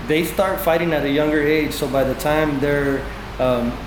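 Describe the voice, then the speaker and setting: With an American accent, a man speaks at a fairly high pitch and with fairly even intonation over noticeable background noise. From East Los Angeles, California. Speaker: Muay Thai fighter and coach. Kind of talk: interview answer. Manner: casual, relaxed.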